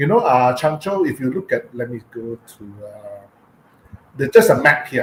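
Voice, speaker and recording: Fairly high-pitched man in a Penang accent, moderate pace with long, frequent pauses, very wide pitch swings, and noticeable background noise. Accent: Malaysian English, Penang. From Penang, Malaysia. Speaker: cultural heritage speaker. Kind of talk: online talk with slides. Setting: live online stream. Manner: halting, many fillers.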